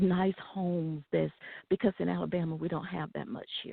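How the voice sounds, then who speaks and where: In an ordinary speaking voice, a woman with a fairly low pitch speaks at a moderate pace. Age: 60s. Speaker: caller. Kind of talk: phone-in call.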